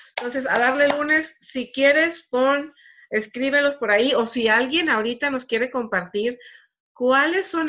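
A woman's bright, sharp voice at a fairly slow pace against a quiet background. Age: 40s. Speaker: network marketing coach. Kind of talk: live stream motivational talk. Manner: casual, conversational.

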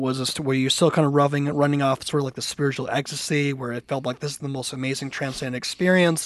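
Fairly quick in pace, this man has a fairly high pitch. He speaks in a normal speaking voice. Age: 40s. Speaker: podcast co-host. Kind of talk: casual interview.

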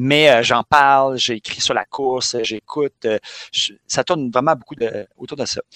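A man's medium-pitched voice, bright and sharp in tone, at a fairly slow pace with fairly even intonation and a dry, close sound with no echo. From Quebec, Montreal. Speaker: physical education teacher. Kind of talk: casual chat.

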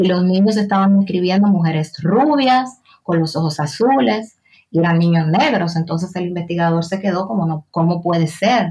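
Her pitch sits fairly low, and her intonation is lively. The woman talks at a moderate pace in a plain, everyday voice. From Dominican Republic, San Cristóbal province. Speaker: writer and journalist. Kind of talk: interview conversation.

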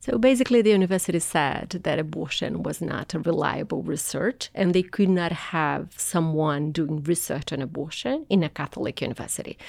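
With a Portuguese accent, a woman speaks at a fairly low pitch and a fairly quick pace, her intonation lively and her pauses hardly any. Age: 40s. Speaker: anthropologist and activist. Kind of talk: interview.

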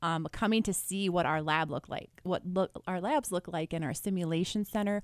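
Captured on a very clean recording with a silent background, a woman with a plain, everyday voice speaks at medium pitch and a fairly quick pace. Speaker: nursing instructor. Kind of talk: radio interview. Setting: radio studio.

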